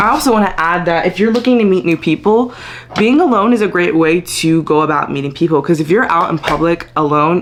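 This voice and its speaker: A woman talks at a fairly quick pace with lively intonation. Noticeable background noise sits behind her. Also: fairly low pitch for a woman. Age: 20s. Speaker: lifestyle vlogger. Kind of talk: casual talk to camera.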